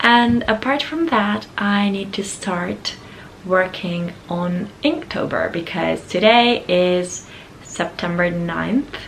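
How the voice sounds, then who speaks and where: Speaking very slowly with lively intonation, a woman with an Italian accent is heard over noticeable background noise and audible room echo. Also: medium pitch for a woman. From Italy. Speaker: illustrator. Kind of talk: casual vlog.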